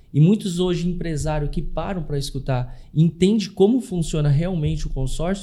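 A man's high-pitched, dark and mellow voice at a moderate pace, with ordinary pitch variation. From Brazil, Curitiba. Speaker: consórcio investment specialist. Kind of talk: interview.

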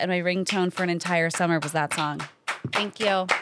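A woman with a medium-pitched voice speaks in a Californian accent. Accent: Californian American. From Los Angeles. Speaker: actor and comedian. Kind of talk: casual chat. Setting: studio.

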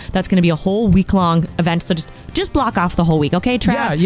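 A woman at a very fast pace, enthusiastic and energetic in tone, very even in loudness, with music in the background. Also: fairly low pitch for a woman, ordinary pitch variation. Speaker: radio show guest, startup event organizer. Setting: radio studio. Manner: fast talker; enthusiastic, energetic.

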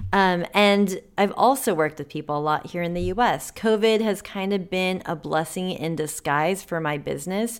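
At a moderate pace, a woman with an unremarkable speaking voice talks in a fairly low pitch. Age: 30s. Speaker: personal stylist and podcast host. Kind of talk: solo podcast monologue. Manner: casual, conversational.

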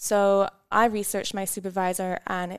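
A woman with a Scottish accent speaks at medium pitch with monotone, flat intonation. The sound is dry and close with no echo, on a very clean recording with a silent background. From Scotland. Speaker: volcanology PhD student. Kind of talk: interview.

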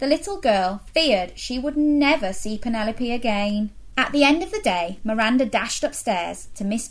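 Reading aloud in a natural voice, intonation lively throughout

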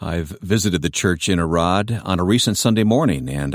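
A man with an American accent, very deep and low in pitch, with vocal fry, lively intonation and a fairly quick pace. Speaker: radio host. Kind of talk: broadcast interview. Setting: studio.

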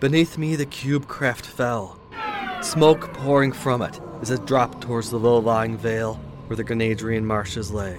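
A man's medium-pitched voice with a dramatic tone, moderate pace and ordinary pitch variation, over noticeable background noise. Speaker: fiction narrator. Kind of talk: dramatic first-person sci-fi narration, scripted, read aloud. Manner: tense, urgent, vividly dramatic.

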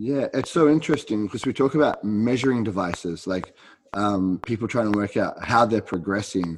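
A man talks at a fairly quick pace in an ordinary speaking voice. His pitch is fairly low, with ordinary variation. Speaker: podcast host and jiu-jitsu instructor. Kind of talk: casual interview chat.

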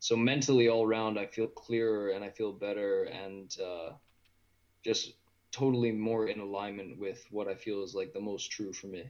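A man with a western Canadian accent talks at a moderate pace in a fairly low voice with fairly even intonation. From Edmonton, Alberta, Canada. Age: 20s. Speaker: vegan lifestyle guest. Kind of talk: casual interview.

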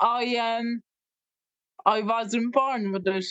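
The delivery is very slow, in a West Cork accent. Intonation stays monotone and flat throughout. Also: woman. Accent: West Cork Irish. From Ireland, West Cork. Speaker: music therapist. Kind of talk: casual interview chat.

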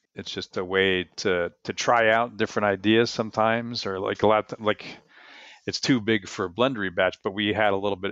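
A man at a moderate pace in an ordinary speaking voice. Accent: American. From New Jersey. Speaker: brewmaster. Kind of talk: interview.

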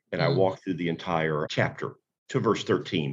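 The speaker has vocal fry and talks at a fairly quick pace. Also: man. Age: 60s. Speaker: pastor and author. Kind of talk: interview, preacherly talk.

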